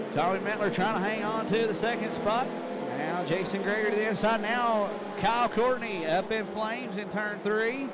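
An animated tone over noticeable background noise. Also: man, high pitch for a man. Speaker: race track announcer. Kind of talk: live race commentary. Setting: speedway PA system. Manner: fast, animated play-by-play, rapid-fire car and turn calls; crowd-pleasing, addresses audience.

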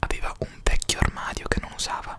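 Over loud background noise, a man talks at a moderate pace in a dry sound with no echo. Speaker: reader. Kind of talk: reading a narrative text aloud. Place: home room. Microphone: studio mic.

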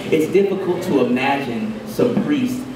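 A man's voice makes very wide pitch swings through noticeable background noise and audible room echo. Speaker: poet. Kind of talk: poetry reading. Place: cafe.

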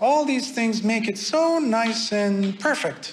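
Fairly slow delivery by a man, with pitch variation that is ordinary. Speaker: buddhist monastic teacher. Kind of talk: dhamma talk. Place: garden.

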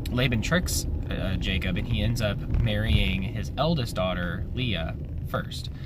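Music can be heard in the background. Over it, a man talks. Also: dry sound with no echo. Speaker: devotional vlogger. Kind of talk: casual bible devotional talk. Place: car. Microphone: phone near.

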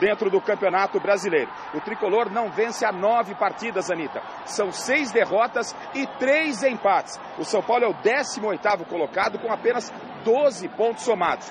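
Speaking at a moderate pace, a man with a high pitch and ordinary pitch variation sounds dry with no echo over noticeable background noise. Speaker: TV sports reporter. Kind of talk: news report.

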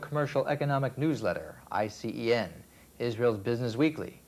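At a moderate pace, a plain, everyday voice talks with ordinary pitch variation. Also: man. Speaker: news anchor. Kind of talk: TV news anchor read.

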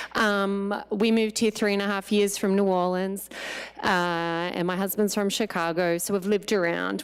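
At a moderate pace, a woman with an Australian accent and medium pitch speaks with very even loudness and a monotone, flat intonation. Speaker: parent speaking at public comment. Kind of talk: public comment at board meeting. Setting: board of education meeting.

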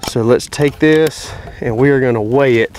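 A man with a Southern US accent is heard in a dry recording with no echo and light background noise. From North Carolina. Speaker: YouTube hunting and gun reviewer; gun reviewer. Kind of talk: product review. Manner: casual, conversational. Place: open country.

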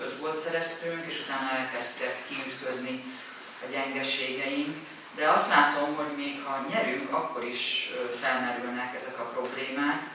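Someone speaks at a fairly slow pace in strong room echo with noticeable background noise. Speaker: interpreter. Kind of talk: consecutive interpreting at press conference. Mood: subdued, self-critical. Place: meeting room.

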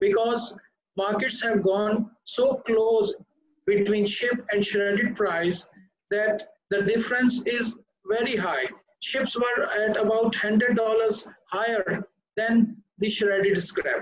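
Over light background noise and audible room echo, a man with a high pitch speaks at a very slow pace in fairly even intonation. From Pakistan. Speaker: ship recycling executive; panelist. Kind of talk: panel discussion. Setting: video call. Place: office. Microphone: webcam.

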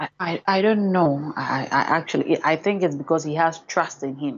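A woman speaks in a low voice with a slightly husky edge and ordinary pitch variation. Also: moderate pace.

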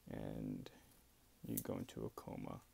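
The voice belongs to a man. It sounds dark and mellow. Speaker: epilepsy patient sharing experience. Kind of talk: casual talk to camera. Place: home room. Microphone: earbuds.

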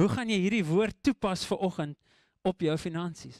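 A man speaks with an English accent and ordinary pitch variation. The background is quiet and the sound dry with no echo. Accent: English-speaker's accent in Afrikaans. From South Africa, Eastern Cape Karoo (Graaff-Reinet); Eastern Cape, South Africa. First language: English (speaking Afrikaans). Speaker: preacher. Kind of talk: sermon. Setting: church. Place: church. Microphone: handheld.

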